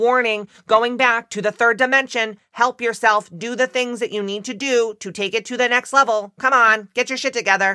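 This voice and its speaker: Fairly high for a woman, a female-sounding put-on character voice moves at a moderate pace with hardly any pauses. The recording is very clean, with a silent background. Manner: warning, urgent.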